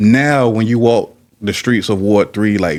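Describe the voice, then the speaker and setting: In a very clean recording with a silent background, a man with an American accent speaks at a fairly low pitch with ordinary pitch variation, an ordinary speaking voice. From Petersburg, Virginia. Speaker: podcast host. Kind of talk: casual interview.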